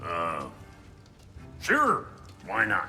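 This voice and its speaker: A man's put-on character voice over clear background noise. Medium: video game. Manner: gruff, crude.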